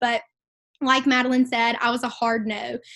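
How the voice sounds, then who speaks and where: The speaker has a Mississippi accent and a fairly quick pace. The sound is dry and close, with no echo. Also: woman. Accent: Southern (Mississippi). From Mississippi, US South. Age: 20s. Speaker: network marketing regional vice president. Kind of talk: motivational talk on team call. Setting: conference call. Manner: animated.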